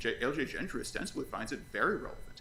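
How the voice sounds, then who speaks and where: Speaking very fast, a man's voice carries audible room echo. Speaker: lawyer. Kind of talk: oral argument in court.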